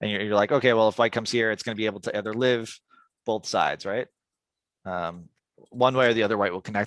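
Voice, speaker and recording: Against a quiet background, a man talks at a very fast pace with a fairly low pitch and fairly even intonation, in a dry, close sound with no echo. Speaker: go teacher reviewing a student's game. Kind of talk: game review lesson. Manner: hesitant, many fillers and repeats.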